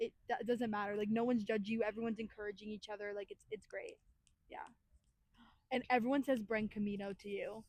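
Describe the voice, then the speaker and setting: With an American accent, a woman with a fairly high, somewhat breathy voice talks at a very fast pace, broken by long, frequent pauses, her loudness swinging widely. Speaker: podcast host. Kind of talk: casual chat. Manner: animated.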